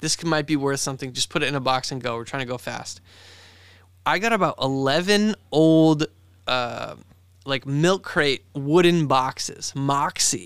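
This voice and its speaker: A man has a normal speaking voice, fairly high in pitch with ordinary variation. He speaks at a moderate pace on a very clean recording with a silent background. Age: 30s. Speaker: podcast co-host, shop owner. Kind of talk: casual chat.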